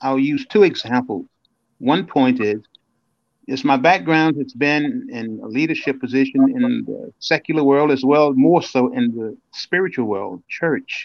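With an American accent, a man has an unremarkable speaking voice at a fairly high pitch, talking at a fairly slow pace with lively intonation. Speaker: motivational speaker. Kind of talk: interview. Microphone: bad connection from storm.

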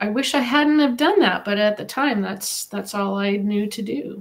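A woman's somewhat breathy, medium-pitched voice with ordinary pitch variation. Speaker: animal communicator and author. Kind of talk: interview.

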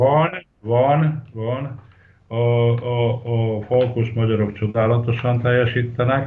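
A man talks at a very slow pace with long, frequent pauses. His medium pitch has fairly even intonation. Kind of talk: interview. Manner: halting.

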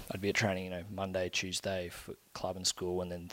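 Fairly quick speech from a man with a very deep, low pitch and an Australian accent, on a very clean recording with a silent background. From Brisbane, Queensland, Australia. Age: 20s. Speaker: rugby union player. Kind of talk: podcast interview.

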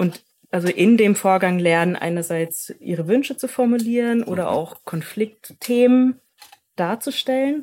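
A woman with an ordinary speaking voice, fairly high in pitch, at a fairly slow pace with lively intonation. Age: 30s. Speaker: educator. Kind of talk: interview conversation.

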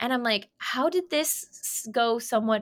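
The recording is very clean, with a silent background. A woman with an unremarkable speaking voice talks at a fairly slow pace. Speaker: podcast co-host. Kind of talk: casual chat.

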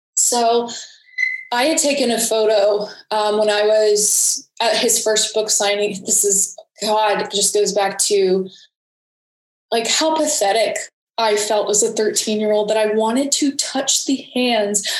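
With an American accent, the speaker moves at a fairly slow pace with fairly even intonation, and audible room echo is present. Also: woman, very even loudness. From Georgia, US South (Atlanta suburbs). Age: 20s. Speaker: photographer and videographer, abuse survivor. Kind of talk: interview testimony.

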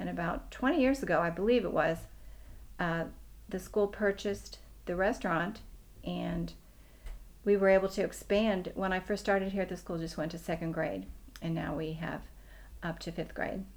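An American woman talks at a moderate pace. She leaves long, frequent pauses, with an American accent. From US, Pittsburgh, Pennsylvania. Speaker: preschool teacher. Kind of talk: interview.

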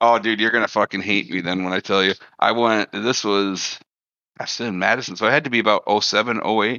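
A man speaks at a very fast pace in an Upper Midwest accent. His fairly low voice holds fairly even intonation. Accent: Upper Midwest American. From Wisconsin. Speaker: gamer. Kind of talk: casual chat.

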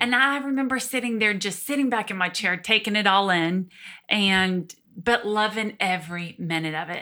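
A woman speaks with a Southern US accent at medium pitch and a moderate pace, her tone bright and sharp. Her pitch varies in an ordinary way on a very clean recording with a silent background. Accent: Southern US (Georgia). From Georgia, US South. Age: 30s. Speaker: guest sharing personal testimony. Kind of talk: testimony.

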